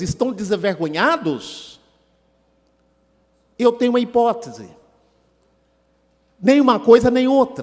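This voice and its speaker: A man speaks at an extremely high pitch, his intonation lively. He leaves long, frequent pauses. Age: 60s. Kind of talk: seminar talk. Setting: auditorium with audience.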